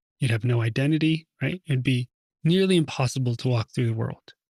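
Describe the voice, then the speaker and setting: Somewhat breathy and relaxed in tone, a man speaks at a fairly quick pace with a fairly high pitch and ordinary pitch variation. The sound is dry and close, with no echo. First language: Russian. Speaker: meditation teacher. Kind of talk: talk before a guided meditation. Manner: relaxed, conversational.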